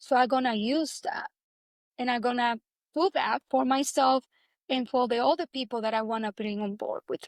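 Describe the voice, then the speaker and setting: Recorded very cleanly with a silent background and a dry, close sound with no echo, a woman speaks at a moderate pace with a high pitch, lively intonation and big swings in loudness. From Dominican Republic. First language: Spanish. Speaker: actress. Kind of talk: interview.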